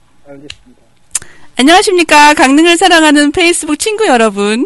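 A woman's voice makes very wide pitch swings over noticeable background noise. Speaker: radio host. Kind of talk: casual radio interview.

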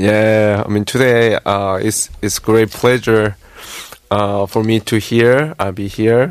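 At a fairly slow pace, a man talks in a flat, monotone voice pitched fairly low. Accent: Korean. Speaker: jazz band leader. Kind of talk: casual studio interview. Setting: radio studio. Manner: halting.

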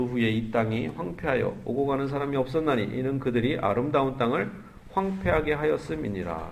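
This man speaks with a fairly high pitch. There is audible room echo. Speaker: pastor. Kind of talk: sermon.

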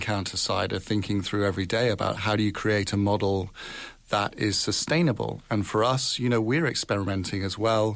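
This man talks at a fairly quick pace with a fairly low pitch. His intonation is fairly even. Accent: British. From UK. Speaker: foreign correspondent, newspaper bureau chief. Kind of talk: radio panel discussion. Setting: radio studio.

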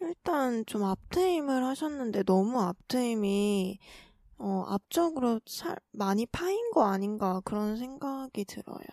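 A woman's fairly high voice at a very slow pace, with very wide pitch swings and dry, close sound with no echo. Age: 20s. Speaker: podcast co-host. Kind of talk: casual chat.

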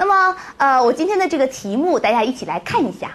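Loud and fairly quick, a woman speaks with very wide pitch swings. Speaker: Chinese language teacher. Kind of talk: lecture. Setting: classroom with live audience. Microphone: echo on the microphone.

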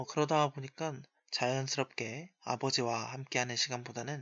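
Fairly even intonation from a man at medium pitch, at a moderate pace. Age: 20s. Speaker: podcast host, university student. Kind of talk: solo podcast monologue. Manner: frequent filler hesitations.

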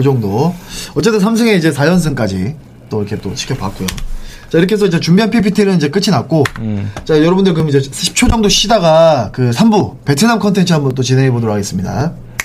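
Noticeable background noise surrounds a man talking at a fairly quick pace. His fairly high voice swings very widely in pitch. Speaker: sports podcast host. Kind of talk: casual sports talk show chat. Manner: animated, talkative.

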